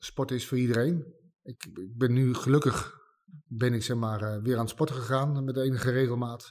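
Speaking at a moderate pace, a man keeps a medium pitch with ordinary pitch variation. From Netherlands, Utrecht area. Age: 40s. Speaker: war veteran. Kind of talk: interview testimony. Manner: halting, many hesitations and repeats.

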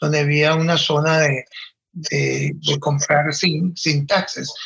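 A man speaks at a very slow pace. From Venezuelan Andes (Valera, Trujillo). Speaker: fashion designer. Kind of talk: interview.

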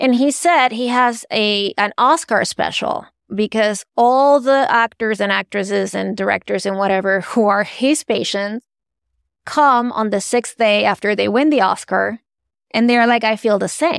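A woman with a Spanish accent talks at a fairly slow pace and a fairly high pitch. The sound is dry and close with no echo, in a very clean recording with a silent background. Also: ordinary pitch variation. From Venezuela. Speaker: art advisor and author. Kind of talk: interview.

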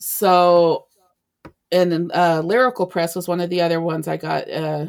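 A woman has an unremarkable speaking voice, pitched fairly low. She talks at a moderate pace. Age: 40s. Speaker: romance author. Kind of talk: casual interview chat.

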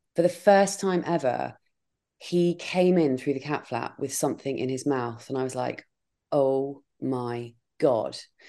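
Against a quiet background, a woman with a southern English accent speaks slowly and fairly deliberately in a dark, mellow tone with lively intonation. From Dorset, southern England. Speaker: podcaster. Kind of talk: casual chat. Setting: video call.

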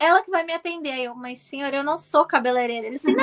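The voice is raised and projected, with a bright, sharp tone. It moves at a very fast pace with lively intonation. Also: woman. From Brazil, Santos (São Paulo state). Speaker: journalist and political commentator. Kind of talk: interview. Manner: halting with fillers.

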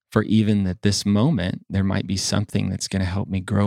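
On a very clean recording with a silent background, a man's very deep, low voice holds a flat, monotone intonation. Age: 40s. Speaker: church member and rotating co-host. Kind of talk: casual faith discussion. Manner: halting, many fillers.

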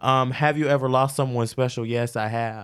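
Recorded very cleanly against a silent background, a man speaks at medium pitch. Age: 20s. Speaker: podcast host and hairstylist. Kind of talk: casual chat. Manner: animated.

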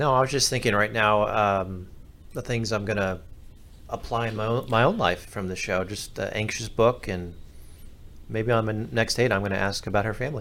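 Here is a man with a plain, everyday voice and fairly low pitch. He keeps a moderate pace and fairly even intonation. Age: 30s. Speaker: podcast producer. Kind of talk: casual chat.

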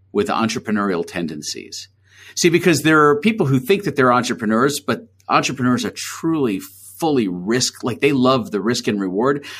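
Speaking at a fairly quick pace with a New York accent, a man with a medium pitch makes very wide pitch swings. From New York City (Queens). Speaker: agency founder. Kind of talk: interview.

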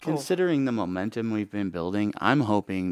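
In a very clean recording with a silent background and a dry, close sound with no echo, a man speaks in a plain, everyday voice, fairly low in pitch, with lively intonation at a moderate pace. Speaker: app co-founder. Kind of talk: interview. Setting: studio.

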